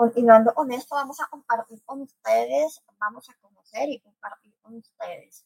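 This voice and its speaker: A woman with a high pitch speaks at a moderate pace with ordinary pitch variation and big swings in loudness, captured in a dry, close sound with no echo. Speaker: radio host. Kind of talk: casual chat.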